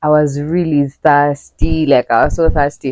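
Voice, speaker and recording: Speaking with a Ugandan accent, a woman has a very deep, low pitch. The sound is dry and close with no echo. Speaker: travel vlogger. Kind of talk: casual vlog talk to camera. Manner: animated.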